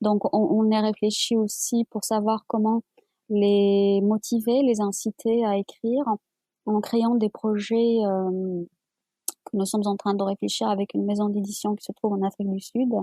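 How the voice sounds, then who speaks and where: Somewhat breathy, a woman speaks at a fairly slow pace in a monotone, flat intonation. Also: fairly high pitch for a woman. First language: Amazigh (Berber) (speaking French). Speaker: publisher and writer. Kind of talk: interview. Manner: halting, many repetitions.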